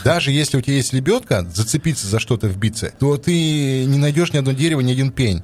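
A man talks at a very fast pace and medium pitch, somewhat breathy. His intonation is lively and his loudness very even. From Yamal, Russian Far North. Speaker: podcast co-host. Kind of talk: casual chat.

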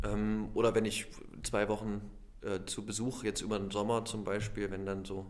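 Delivered at a moderate pace, the speech carries an audible room echo. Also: man. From Halle an der Saale, Saxony-Anhalt. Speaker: actor. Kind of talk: interview.

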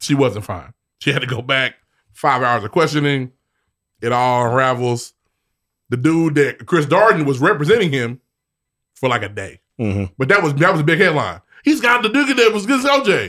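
A man with fairly high pitch speaks at a moderate pace, using very wide pitch swings. Long, frequent pauses break up his speech on a very clean recording with a silent background. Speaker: podcast co-host. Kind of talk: casual chat.

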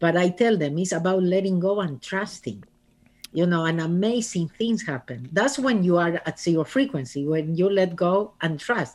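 A woman with an Argentine accent, fairly low-pitched, at a moderate pace with lively intonation. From Argentina. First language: Spanish. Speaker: author and speaker. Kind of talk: casual interview.

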